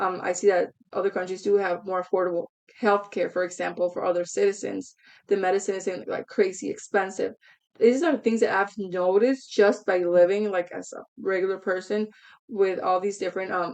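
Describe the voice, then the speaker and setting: Speaking fairly quickly with a Spanish accent, a woman keeps a medium pitch and fairly even intonation. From United States, Mexican-Guatemalan family. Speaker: reaction channel host. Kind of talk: casual commentary to camera. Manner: halting, many fillers.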